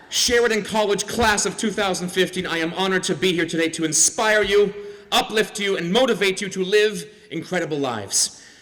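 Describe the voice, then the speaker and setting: A man with a Canadian accent talks at a fairly quick pace with a high pitch and ordinary pitch variation. Noticeable background noise is present. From Canada. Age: 40s. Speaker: comedian and TV host. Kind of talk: convocation speech with stand-up humor. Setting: stage with audience. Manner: animated.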